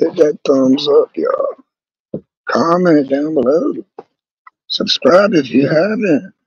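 Speaking at a slow pace, a man has a fairly high pitch with ordinary variation and a husky, rough edge.

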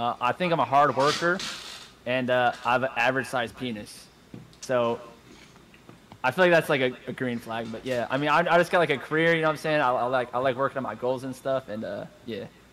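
There is noticeable background noise behind this man. He talks at a fairly quick pace with ordinary pitch variation. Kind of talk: casual chat. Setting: video call.

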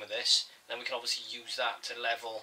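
The words come out very fast. Noise is noticeable in the background. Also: man. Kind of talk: tutorial. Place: home room. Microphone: camera far.

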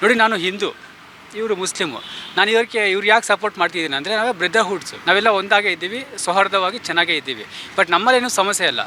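Over noticeable background noise, a man speaks in a raised, projected voice, high in pitch with ordinary pitch variation. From Bengaluru, India. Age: 30s. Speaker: community activist. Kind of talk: street interview.

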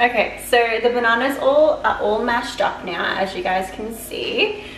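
Pitch variation is ordinary. There is noticeable background noise. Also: woman. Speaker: home baking vlogger. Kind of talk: casual vlog chat. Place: kitchen. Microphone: camera far.

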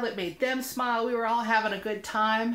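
A woman's animated, fairly high-pitched voice at a moderate pace. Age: 40s. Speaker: vlogger. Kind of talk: casual vlog storytelling. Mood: upbeat, warm. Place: home room. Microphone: webcam.

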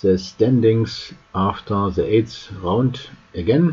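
A somewhat breathy voice at a very slow pace, with ordinary pitch variation. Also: man. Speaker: chess news youtuber. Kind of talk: news roundup.

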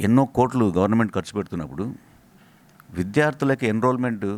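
A plain, everyday voice with ordinary pitch variation, on a very clean recording against a silent background. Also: man. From Rayalaseema, Andhra Pradesh (Kurnool district). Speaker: university vice chancellor and physics professor. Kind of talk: interview. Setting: on location at university.

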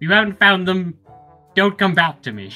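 Faint music plays behind a man doing a put-on character voice pitched high. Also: moderate pace. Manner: curt, dismissive.

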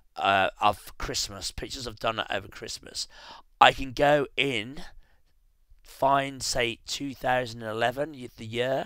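Sounding bright and sharp, a man speaks at medium pitch and a very slow pace, with ordinary pitch variation and big swings in loudness. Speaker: photographer and tutorial presenter. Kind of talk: tutorial. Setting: screen recording at home. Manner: hesitant, with many fillers.

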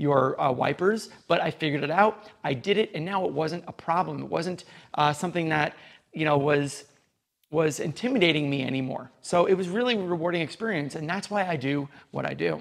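A man at a fairly quick pace with ordinary pitch variation over a quiet background. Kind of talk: casual vlog chat. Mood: upbeat, reflective.

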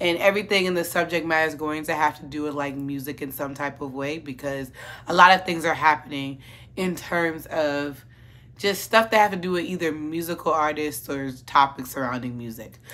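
A woman speaks fairly quickly at a very deep, low pitch with ordinary variation. Her tone is bright and sharp, and her loudness swings widely. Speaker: commentary vlogger. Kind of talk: casual commentary vlog. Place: home room.

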